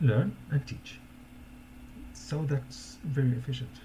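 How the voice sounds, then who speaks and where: A man talks with a non-native accent. His pace is fairly slow. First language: not English. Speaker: social media marketing coach, former teacher. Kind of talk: casual live-stream talk. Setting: live stream. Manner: halting, many repetitions and fillers.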